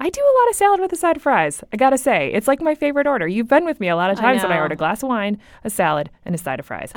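A woman with a Buffalo accent talks very fast at a high pitch, with hardly any pauses. Her pitch swings very widely. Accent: Buffalo, New York. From Buffalo, New York. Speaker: podcast co-host. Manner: casual, chatty, joking.

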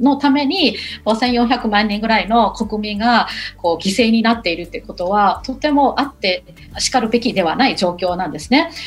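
A woman with a Burmese accent, a fairly high voice and lively intonation, over noticeable background noise. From Myanmar, Yangon. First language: Burmese (speaking Japanese). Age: 40s. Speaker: university lecturer. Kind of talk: radio interview. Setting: remote call. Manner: hesitant with fillers.

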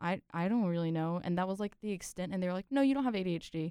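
This woman has a normal speaking voice at a medium pitch, with ordinary pitch variation. The sound is dry and close, with no echo. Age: 20s. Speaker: engineering student. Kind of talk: casual chat.

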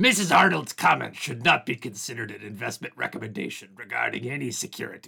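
A man rattles along at a very fast pace in a put-on character voice. His pitch sits at a medium level. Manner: gruff, playful.

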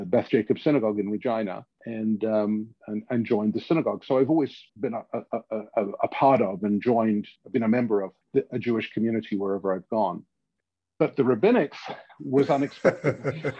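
A man speaks at a fairly quick pace. His pitch is medium, with ordinary variation. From London, England. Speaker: rabbi. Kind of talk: interview conversation.

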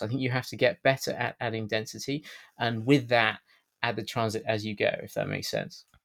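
The speaker uses a British accent at a fairly quick pace. The recording is very clean, its background silent. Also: man. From Britain. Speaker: housing policy campaigner and author. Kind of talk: interview. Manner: hesitant, many filler words.

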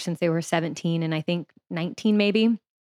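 The sound is dry and close, with no echo. A woman with an American accent talks at a fairly quick pace. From US South, Louisiana. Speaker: sex and relationships coach. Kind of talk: interview.

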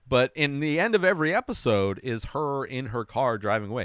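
The recording is very clean, with a silent background. A man talks with vocal fry. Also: dry, close sound with no echo. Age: 40s. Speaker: TV recap podcaster. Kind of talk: casual monologue recap.

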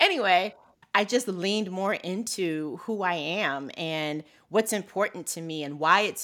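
In a normal speaking voice, a woman speaks at a fairly slow pace and a fairly low pitch, with ordinary pitch variation, on a very clean recording with a silent background. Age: 50s. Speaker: financial behaviorist. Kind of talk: interview.

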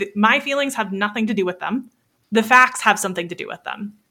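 A woman with an American accent speaks in a bright, sharp tone at a fairly high pitch. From US South, Florida Panhandle. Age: 30s. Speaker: business coach, former wedding photographer. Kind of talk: casual interview chat.

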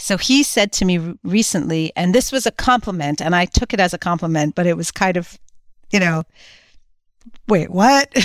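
A woman with an unremarkable speaking voice talks at a medium pitch and a moderate pace, her intonation lively. The recording is very clean with a silent background and a dry, close sound with no echo. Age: 50s. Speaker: skateboarder and entrepreneur. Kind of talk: interview conversation.

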